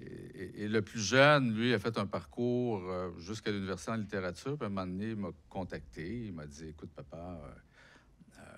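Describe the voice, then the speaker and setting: A man's fairly low-pitched voice at a moderate pace, lively intonation and big swings in loudness. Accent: Quebec. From Quebec, Abitibi (Rouyn-Noranda). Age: 60s. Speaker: author and unemployment activist. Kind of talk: public talk interview. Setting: lecture hall with audience.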